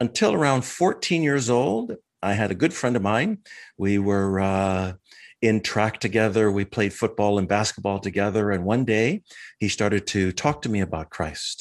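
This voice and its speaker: In an unremarkable speaking voice with very even loudness and ordinary pitch variation, the speaker talks at a moderate pace against a quiet background. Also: man, fairly low pitch for a man. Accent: American. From Minnesota, US Midwest. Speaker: martial arts instructor. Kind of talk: interview testimony.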